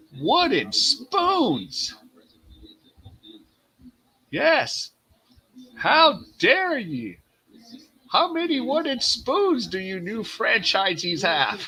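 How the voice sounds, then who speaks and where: A put-on character voice at a very slow pace, broken by long, frequent pauses. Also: man, extremely high pitch for a man. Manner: interrogating, accusatory.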